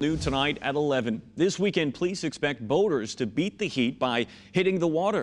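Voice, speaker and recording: A man with an American accent, very wide pitch swings and a fairly quick pace. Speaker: television news anchor and reporter. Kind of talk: field report voiceover.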